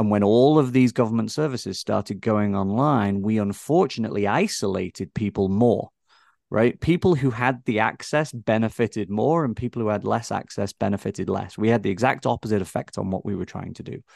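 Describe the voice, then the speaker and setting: With an English accent, a man speaks fairly quickly in a fairly low pitch and ordinary pitch variation, his sound dry and close with no echo against a quiet background. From England. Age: 40s. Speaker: tech company founder. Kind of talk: interview conversation.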